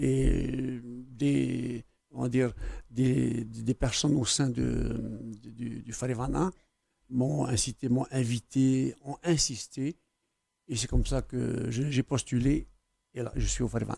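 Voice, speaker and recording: Long, frequent pauses from a man speaking at a very slow pace. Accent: Tahitian. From French Polynesia, Tubuai, Austral Islands. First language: Tahitian (speaking French). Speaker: academy member, Tahitian writer. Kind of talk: TV interview. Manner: hesitant, many fillers.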